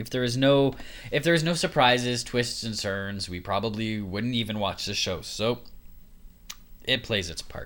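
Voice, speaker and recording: Mumbling at a moderate pace, a man speaks at medium pitch with ordinary pitch variation. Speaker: nursing student podcaster. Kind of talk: casual solo podcast monologue. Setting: home recording.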